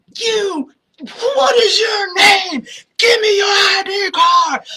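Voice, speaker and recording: A put-on character voice shouts at an extremely high pitch. The words come out very slowly. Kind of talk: terse, authoritative. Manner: commanding, demanding.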